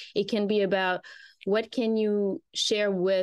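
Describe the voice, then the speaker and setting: Here a woman speaks with a French accent at a medium pitch. Her intonation is fairly even, and the background is quiet. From rural France. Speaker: PR consultancy founder. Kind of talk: interview conversation.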